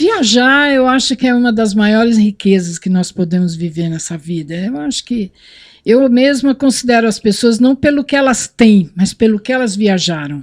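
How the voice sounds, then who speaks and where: This woman has a plain, everyday voice, fairly high in pitch, with lively intonation, a moderate pace, and a dry, close sound with no echo. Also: very clean recording, silent background. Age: 60s. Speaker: motorcyclist. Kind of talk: casual chat.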